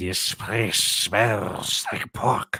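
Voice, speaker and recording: A man puts on a character voice that is raspy, growling and hissing. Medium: read story.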